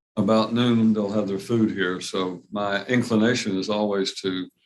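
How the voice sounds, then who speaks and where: A man with a Southern US accent, at a moderate pace, monotone and flat in intonation. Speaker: judge. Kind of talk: courtroom proceedings. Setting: courtroom.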